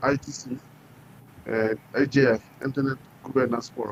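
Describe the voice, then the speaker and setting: A man speaks at a fairly slow pace with a West African French accent, his medium-pitched voice held in a monotone, flat intonation. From Burkina Faso. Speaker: entrepreneur. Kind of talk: interview. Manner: halting.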